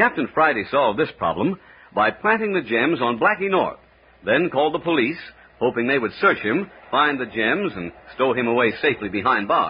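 Very wide pitch swings in a dramatic, theatrical tone at a fairly quick pace, over noticeable background noise. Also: man. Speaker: radio announcer and narrator. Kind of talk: old-time radio drama narration, scripted and formal. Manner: brisk, dramatic, theatrical announcer delivery.

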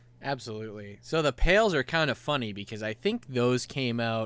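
In a plain, everyday voice of medium pitch, a man talks at a moderate pace on a very clean recording with a silent background. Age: 30s. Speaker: podcast co-host. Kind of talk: casual chat.

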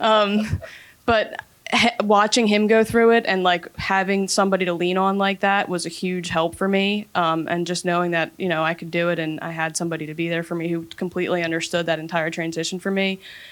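In a normal speaking voice with an American accent, a woman talks at a fairly low pitch with fairly even intonation. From Philadelphia area. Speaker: army veteran, IT worker. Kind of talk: panel discussion.

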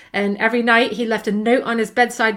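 Here a woman speaks with a British accent. Her pitch is fairly high and her pace moderate. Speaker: podcast co-host. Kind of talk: casual chat. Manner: light-hearted, laughing.

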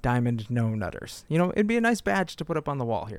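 The speaker is a man. His recording is very clean and the background silent. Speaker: podcast host. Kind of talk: casual comedic chat.

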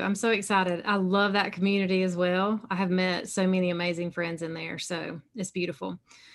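A medium-pitched woman speaks with a slight Southern US accent. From South Carolina, US South. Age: 40s. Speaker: alcohol-free coach and podcast host. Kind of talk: casual interview, testimony.

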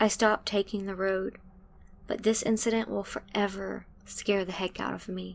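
Her intonation is monotone and flat at a moderate pace. The woman's pitch sits in the medium range. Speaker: story narrator. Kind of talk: storytelling.

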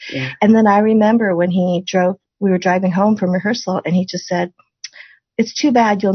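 A woman with an American accent speaks at a moderate pace and medium pitch with ordinary pitch variation, in a normal speaking voice. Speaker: podcast host. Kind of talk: casual interview.

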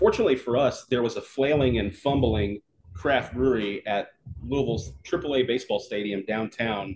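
A man speaks at a moderate pace with a medium pitch and ordinary pitch variation. His voice is somewhat breathy. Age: 40s. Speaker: brewery co-founder. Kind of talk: casual interview. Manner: animated.

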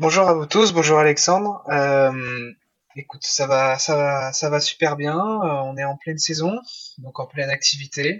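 A man with a normal speaking voice, fairly high pitch, ordinary pitch variation and a fairly slow pace. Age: 20s. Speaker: semi-professional motocross rider. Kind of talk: interview.

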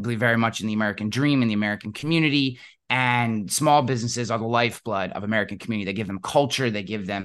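A man talks at a fairly quick pace. He uses an ordinary speaking voice. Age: 40s. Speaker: insurance agency CEO. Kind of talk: interview. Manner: casual with many fillers.

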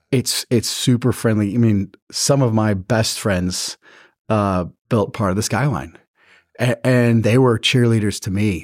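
A plain, everyday voice with an American accent and ordinary pitch variation, in dry, close sound with no echo on a very clean recording with a silent background. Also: man. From West Virginia and Houston, Texas. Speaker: real estate executive. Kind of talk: interview.

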